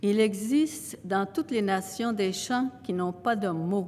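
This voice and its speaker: A woman's medium-pitched voice, very slow in pace, with lively intonation. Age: 80s+. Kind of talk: acceptance speech. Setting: stage with audience. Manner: halting.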